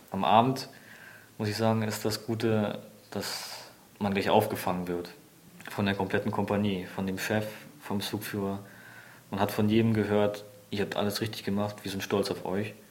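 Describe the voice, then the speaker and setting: A man speaks at a moderate pace with a fairly low pitch and monotone, flat intonation. Long, frequent pauses break up his speech amid audible room echo. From Germany, near Berlin. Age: 20s. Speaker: soldier, reconnaissance scout. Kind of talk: testimony.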